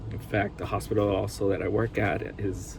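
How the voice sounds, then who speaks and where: A man speaks in a Spanish accent at a fairly low pitch. His intonation stays fairly even. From Hawaii (Honolulu area), raised by Costa Rican family. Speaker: anesthesiologist assistant and seminary student. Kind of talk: self-introduction video. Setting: at workplace. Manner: casual, with hesitations.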